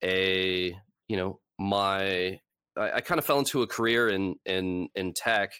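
In a Californian accent, the voice has a bright, sharp tone on a very clean recording with a silent background. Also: man. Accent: Californian American. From Los Angeles. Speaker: author and occult lecturer. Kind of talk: interview.

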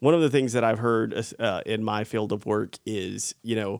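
A man with a Southern US accent speaks at a moderate pace, his medium-pitched voice following a fairly even intonation. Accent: noticeable Southern US. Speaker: actor, podcast co-host. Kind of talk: casual chat.

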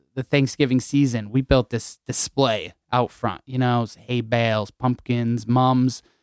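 A man with an American accent speaks at medium pitch. The recording is very clean, with a silent background and a dry, close sound with no echo. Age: 20s. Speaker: pizza restaurant co-owner. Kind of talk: radio interview. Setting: radio studio.

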